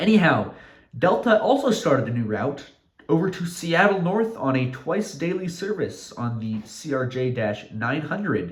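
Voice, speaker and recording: Audible room echo surrounds a man's high voice as his pitch swings very widely at a moderate pace. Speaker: model aviation YouTuber. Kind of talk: narrated hobby video update. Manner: stuttering, with fillers; casual, improvised.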